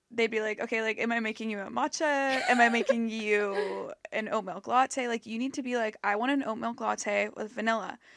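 With a plain, everyday voice and an American accent, a woman speaks at a moderate pace and fairly high pitch, her intonation fairly even and with hardly any pauses. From US West Coast, Los Angeles. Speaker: podcast host. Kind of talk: casual chat. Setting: studio.

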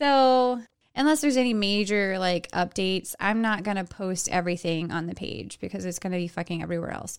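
A woman with an American accent and an ordinary speaking voice talks at a medium pitch and a fairly quick pace with lively intonation, on a very clean recording with a silent background. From Texas. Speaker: podcast co-host. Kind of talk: casual chat.

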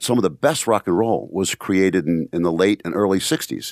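This man's voice sits very deep and low, recorded dry and close with no echo over a very clean, silent background. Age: 60s. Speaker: martial arts instructor and podcast host. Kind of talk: casual chat.

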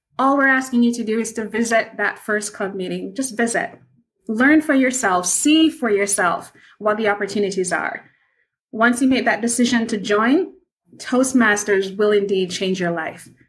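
Delivered at a moderate pace, the somewhat breathy voice has an animated tone and ordinary pitch variation. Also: woman, fairly high pitch for a woman. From Jamaica, Kingston. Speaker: project manager and public speaking club leader. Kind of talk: interview.

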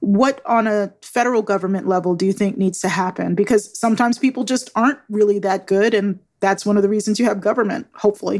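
The delivery is very fast with hardly any pauses, very even loudness and fairly even intonation. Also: woman, medium pitch for a woman. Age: 50s. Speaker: podcast host. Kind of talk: interview.

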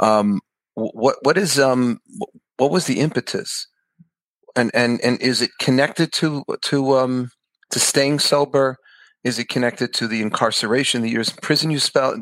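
With a New York accent, a man speaks at medium pitch and a moderate pace, with ordinary pitch variation and long, frequent pauses, in a very clean, dry, close recording with no echo and a silent background. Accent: New York American. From Queens, New York. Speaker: rabbi, podcast host. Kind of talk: casual interview chat.

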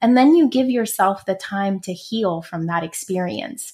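In a very clean recording with a silent background, a woman speaks at a fairly slow pace with lively intonation. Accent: New York. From Brooklyn, New York. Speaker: career coach. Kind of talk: interview.

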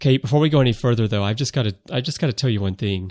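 A man with an American accent talks at a medium pitch, the sound dry and close with no echo. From US South. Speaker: podcast host. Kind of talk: casual chat.

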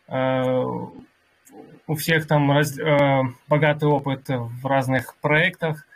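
A man talks at a very slow pace in a fairly high pitch. His intonation is monotone and flat. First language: Russian. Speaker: crypto community workshop host and interpreter. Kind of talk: live online workshop moderation and interpreting. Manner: halting with many fillers in English.

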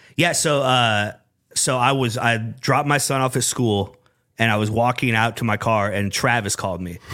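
With a Midwestern US accent, a man speaks in a bright, sharp tone at a moderate pace. The recording is very clean, with a silent background. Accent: US Midwest. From Iowa, Des Moines area (Urbandale). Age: 40s. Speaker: sports radio program director. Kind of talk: casual chat. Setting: studio.

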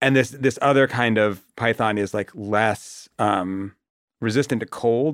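With an American accent, a man talks at a fairly slow pace in a plain, everyday voice of medium pitch, his intonation fairly even, on a very clean recording with a silent background. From Boston area, US. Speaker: TV comedy writer. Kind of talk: casual chat.

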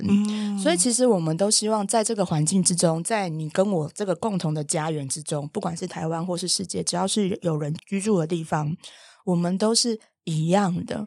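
In a very clean recording with a silent background, a woman speaks at a medium pitch with a dark, mellow tone. Her pace is moderate and her pitch variation ordinary. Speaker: animal communicator and podcast host. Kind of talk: casual chat.

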